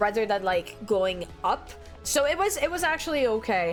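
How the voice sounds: The speaker moves at a moderate pace with lively intonation while music plays in the background. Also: woman.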